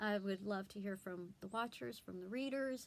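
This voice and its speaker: A woman speaks at medium pitch with a Southern US accent and lively intonation. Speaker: blogger and homeschooling mom. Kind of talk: casual vlog talk. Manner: hesitant, many fillers.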